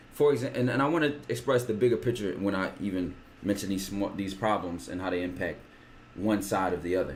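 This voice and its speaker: In a room with audible room echo, a man with a fairly low pitch and vocal fry talks at a fairly quick pace with lively intonation. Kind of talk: casual chat. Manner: fast.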